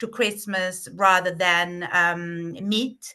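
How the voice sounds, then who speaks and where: A woman's very slow speech with an Italian accent and a bright, sharp tone. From southern Italy. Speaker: private chef. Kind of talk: interview answer.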